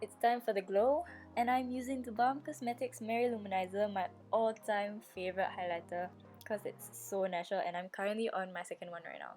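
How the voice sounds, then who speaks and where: With music in the background, a woman of medium pitch speaks at a fairly quick pace, with ordinary pitch variation and big swings in loudness. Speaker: beauty vlogger. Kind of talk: makeup tutorial voiceover. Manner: casual, chatty.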